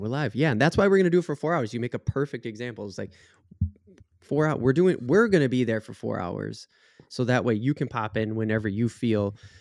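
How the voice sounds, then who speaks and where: Speaking at a very fast pace with lively intonation, a man with an American accent and a medium pitch is heard over a quiet background. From Minnesota. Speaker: podcast co-host. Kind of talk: casual chat.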